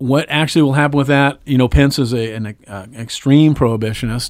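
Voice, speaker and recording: A man's a plain, everyday voice at medium pitch, moderate pace, ordinary pitch variation and big swings in loudness. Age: 60s. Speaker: cannabis advocacy board member. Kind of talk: casual interview.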